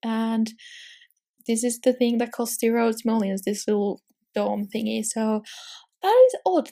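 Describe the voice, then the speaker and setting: A woman speaks with a dark, mellow tone at a fairly high pitch. The recording is very clean, with a silent background. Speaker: Sims gaming YouTuber. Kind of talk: casual commentary over gameplay. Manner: animated; fast.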